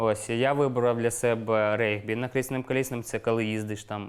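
Medium in pitch, a man speaks with fairly even intonation. He keeps a moderate pace. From eastern Ukraine, Luhansk region. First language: Russian (speaking Ukrainian). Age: 30s. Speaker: war veteran. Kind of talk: interview testimony. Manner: casual, colloquial.

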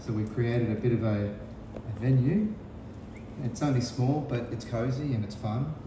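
A man talks with fairly even intonation at a moderate pace, with noticeable background noise and audible echo from the room. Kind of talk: interview answer. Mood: relaxed, friendly. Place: cafe.

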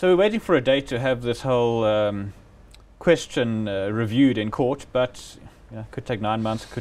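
A man's fairly low voice with a slightly mellow tone, at a fairly quick pace.

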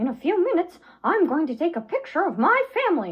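In a put-on character voice, the speaker talks very fast at an extremely high pitch with very wide pitch swings. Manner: excited, upbeat.

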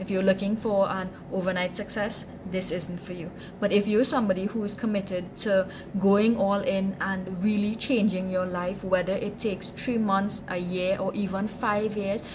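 A woman talks with few pauses and little pitch movement. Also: medium pitch for a woman, moderate pace.

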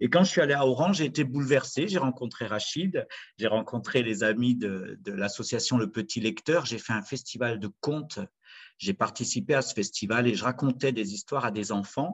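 Over a quiet background, a man talks at a moderate pace in a medium pitch. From France, Saint-Étienne (Loire); France. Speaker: storyteller. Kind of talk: storytelling performance. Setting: video call. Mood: warm, reflective storytelling. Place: home room. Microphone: webcam.

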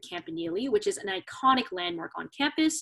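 A woman speaks with a high pitch in an American accent. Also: quiet background. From Southern California. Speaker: student campus ambassador. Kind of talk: informational presentation. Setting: video call. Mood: friendly, welcoming. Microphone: video call.

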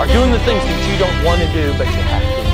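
Loud music plays in the background as a man talks very fast in a dry sound with no echo. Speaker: auctioneer and real estate broker. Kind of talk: motivational speech. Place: classroom.

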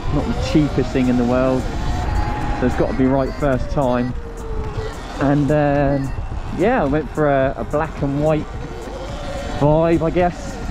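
Spoken at a fairly slow pace with long, frequent pauses, the voice sits over clear music in the background. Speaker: rider vlogger. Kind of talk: casual vlog chat. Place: motorbike. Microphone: helmet.

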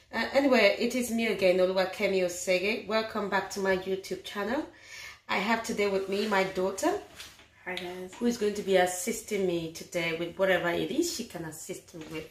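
Over light background noise and audible room echo, a woman talks at a fairly quick pace with ordinary pitch variation. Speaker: home cook vlogger. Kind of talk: casual vlog chat. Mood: warm, calm. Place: kitchen. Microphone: phone near.

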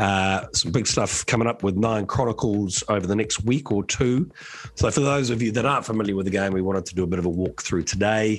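Putting on a character voice, a man talks fairly quickly in a hoarse, raspy, fairly low voice. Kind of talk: casual vlog chat.

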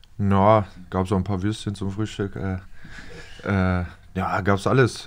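A man's very deep, low voice, moderate in pace, with monotone, flat intonation. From northern Germany. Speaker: professional footballer; podcast guest. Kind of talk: casual chat. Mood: relaxed, casual. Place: studio. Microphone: studio mic.

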